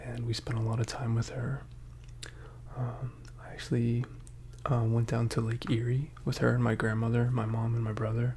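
A man whispers, soft-spoken. Light background noise can be heard. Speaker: ASMR creator. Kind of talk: ASMR casual chat. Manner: soft-spoken, partly whispered. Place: home room. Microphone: earbuds.

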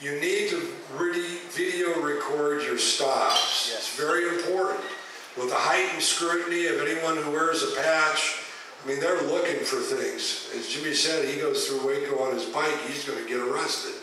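A man speaks at a moderate pace in a room with strong echo and light background noise. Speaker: speaker. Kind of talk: speech to a meeting. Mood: earnest, urging. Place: hall.

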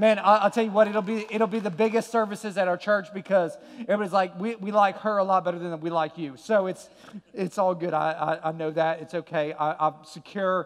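Moving at a fairly quick pace, a man talks at a high pitch with fairly even intonation. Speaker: pastor. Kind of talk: sermon. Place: stage. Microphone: headset.

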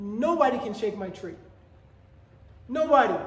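With strong room echo, a man talks at an extremely high pitch and a fairly slow pace, his intonation lively.

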